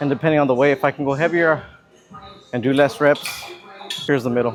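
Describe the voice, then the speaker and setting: A man at a very fast pace, fairly high-pitched, with fairly even intonation and noticeable background noise. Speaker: fitness vlogger. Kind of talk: casual vlog narration. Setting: gym. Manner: mumbling; casual, relaxed.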